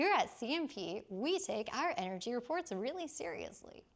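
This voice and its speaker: A put-on character voice, female-sounding and high-pitched, with very wide pitch swings at a moderate pace. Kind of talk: polished, professional.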